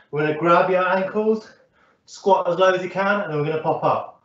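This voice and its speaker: A man with a high voice talks at a fairly quick pace in a flat monotone, with audible room echo around him. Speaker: fitness instructor. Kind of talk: workout instruction. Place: home room. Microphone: camera far.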